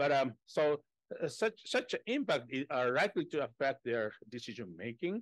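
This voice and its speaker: A man's fairly high voice with very wide pitch swings and a Japanese accent, dry with no echo, against a quiet background. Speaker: economics professor, discussant; economics professor. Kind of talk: academic discussion. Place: meeting room. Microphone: podium.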